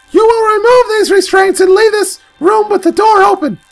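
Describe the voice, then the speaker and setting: At a moderate pace, a man uses a put-on character voice that is squeaky and pitched extremely high. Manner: commanding but comically high.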